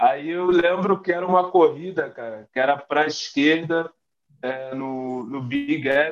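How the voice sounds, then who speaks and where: A man speaks at a fairly high pitch with ordinary pitch variation. His pace is fairly slow. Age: 30s. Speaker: American football player. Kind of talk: casual interview. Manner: halting, many fillers.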